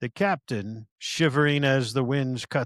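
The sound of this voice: An unforced reading voice carries fairly even intonation. The background is quiet.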